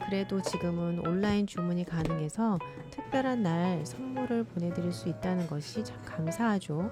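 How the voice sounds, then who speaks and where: A woman speaks at a moderate pace in a calm, gentle tone, her fairly low voice swinging very widely in pitch over background music. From South Korea. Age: 40s. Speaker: homemaker. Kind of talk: vlog voice-over narration.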